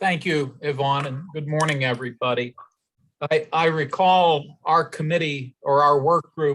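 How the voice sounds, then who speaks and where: Fairly slow and fairly even in intonation, a man talks at a fairly high pitch. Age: 60s. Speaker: election advisory board member. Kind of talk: public meeting discussion. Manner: halting.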